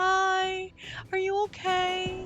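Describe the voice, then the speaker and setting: A put-on character voice pitched extremely high, soft-spoken with a gentle tone. Clear background noise is present. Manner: gentle, solicitous.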